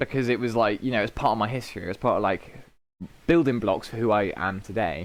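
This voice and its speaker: A man with a British accent at a medium pitch and a moderate pace, animated in tone with lively intonation. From Britain. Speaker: podcast host. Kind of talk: casual chat.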